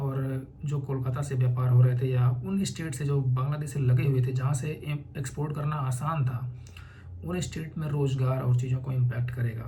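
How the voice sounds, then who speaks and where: Somewhat breathy with a dark, mellow tone, a man's voice comes through with audible room echo. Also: medium pitch for a man, fairly even intonation, moderate pace. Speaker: UPSC aspirant and educational YouTuber. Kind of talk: informal explanatory talk. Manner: conversational.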